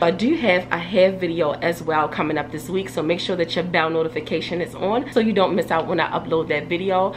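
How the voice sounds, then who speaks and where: Noticeable background noise sits behind a woman with a fairly low pitch. She talks at a very fast pace with ordinary pitch variation. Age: 30s. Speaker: hair care YouTuber. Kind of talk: casual vlog talk to camera. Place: home room.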